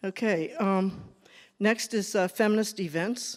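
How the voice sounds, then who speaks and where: Very slow speech with a Boston accent. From New England. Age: 70s. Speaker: feminist activist. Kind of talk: casual talk on stage. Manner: halting, filler-heavy.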